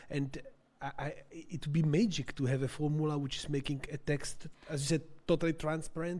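At a fairly quick pace, a man speaks in a fairly high, somewhat breathy voice with fairly even intonation. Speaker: audience member. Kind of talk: academic Q&A. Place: hall. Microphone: handheld.

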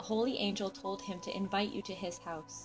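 Music in the background behind a woman talking. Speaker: scripture narrator. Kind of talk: scripture reading.

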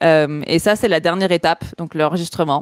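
Speaking at a moderate pace with fairly even intonation, a woman with a fairly low voice sounds dry and echo-free against a quiet background. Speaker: art director, illustrator and motion designer; guest. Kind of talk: podcast interview. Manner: loosely articulated.

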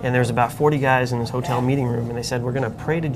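A man speaks at a very fast pace with fairly even intonation over noticeable background noise. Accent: American. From Long Island, New York; New York. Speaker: author sharing faith testimony; interview guest. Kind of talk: interview testimony. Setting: coffee shop. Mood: earnest, conversational storytelling. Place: cafe. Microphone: lapel.

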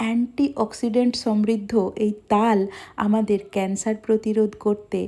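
Her tone is dark and mellow as a woman speaks in a flat monotone at a fairly high pitch. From West Bengal, India (Medinipur). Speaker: food vlogger. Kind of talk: cooking vlog narration.

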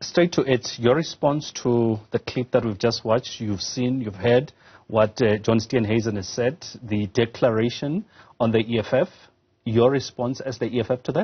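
Somewhat breathy, a man speaks at a fairly slow pace, medium in pitch with ordinary pitch variation. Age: 40s. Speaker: tv news anchor. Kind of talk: tv news interview.

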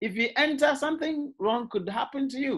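The background is quiet as a man talks at moderate speed. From Ghana. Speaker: university lecturer. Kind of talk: lecture. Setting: video call. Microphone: video call.

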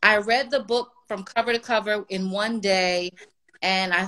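Her tone is bright and sharp as the woman speaks with fairly even intonation. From Washington, D.C. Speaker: music publicist; guest. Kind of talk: interview. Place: home room. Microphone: video call.

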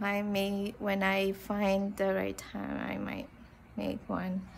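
Light background noise sits behind a woman's speech. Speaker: vlogger. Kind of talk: casual vlog chat. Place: garden. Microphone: phone near.

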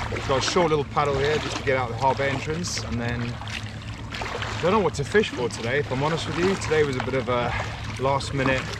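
A man talking at a fairly quick pace over loud background noise, the sound dry with no echo. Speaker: kayak angler vlogger. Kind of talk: casual vlog chat. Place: boat. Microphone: camera far.

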